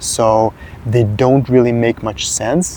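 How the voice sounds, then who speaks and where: There is noticeable background noise as a man talks with a Serbian accent. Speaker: fitness content creator. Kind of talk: casual talking-head advice video. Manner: hesitant, frequent filler 'uh'.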